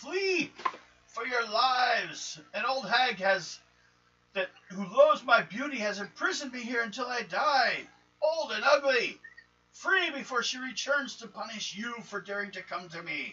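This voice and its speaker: Using a put-on character voice, a man speaks at an extremely high pitch. The voice is shrill and moves at a moderate pace. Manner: desperate, shouting, warning.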